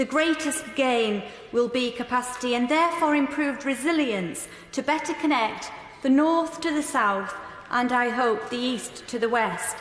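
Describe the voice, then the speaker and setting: A woman speaks at a high pitch. Noticeable background noise is present. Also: ordinary pitch variation, moderate pace. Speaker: member of parliament. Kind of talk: parliamentary speech.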